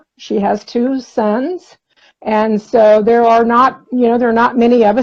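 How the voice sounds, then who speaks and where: A woman with an ordinary speaking voice talks fairly slowly at a fairly high pitch, her intonation fairly even. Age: 60s. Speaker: interview guest sharing diet success story. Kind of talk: casual interview chat.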